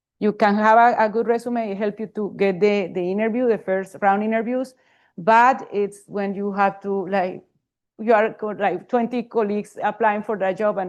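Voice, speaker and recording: In a Spanish accent, a woman speaks with a fairly high pitch and fairly even intonation. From Colombia. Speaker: professor, panelist. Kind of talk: panel talk. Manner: halting.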